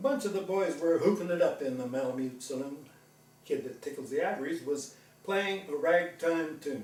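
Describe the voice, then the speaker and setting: With noticeable background noise behind him, a man speaks at a moderate pace in a high pitch with lively intonation. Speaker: veterinarian. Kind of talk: poetry reading.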